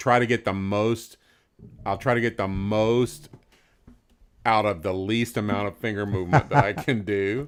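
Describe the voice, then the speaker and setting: A man speaks at a moderate pace with a Southern US accent, his fairly low voice showing ordinary pitch variation. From US South, rural central Florida. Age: 60s. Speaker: guitarist. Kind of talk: casual chat. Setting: live stream.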